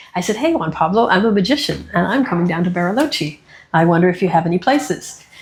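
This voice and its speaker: Over noticeable background noise, a woman talks at a very fast pace and medium pitch with lively intonation and very even loudness. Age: 60s. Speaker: magician and human rights activist. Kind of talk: interview.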